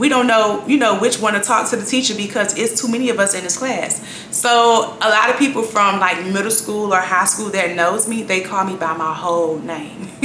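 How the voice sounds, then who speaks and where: Against noticeable background noise and audible room echo, a woman at a medium pitch speaks with hardly any pauses. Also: ordinary pitch variation, moderate pace. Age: 30s. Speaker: vlogger. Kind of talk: casual chat.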